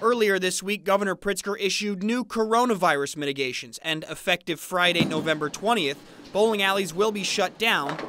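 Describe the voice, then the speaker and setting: A high-pitched man speaks in a raised, projected voice at a fairly quick pace, with ordinary pitch variation. Music plays in the background. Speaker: sports reporter. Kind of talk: TV news sports package voice-over.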